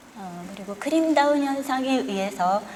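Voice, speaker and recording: Noticeable background noise and audible room echo accompany speech at a moderate pace with ordinary pitch variation. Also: woman. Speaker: tea science lecturer. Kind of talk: lecture. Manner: formal.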